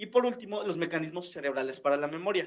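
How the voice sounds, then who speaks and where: Talking at a fairly quick pace, a man uses a high-pitched voice. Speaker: physiology tutor. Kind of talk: lecture.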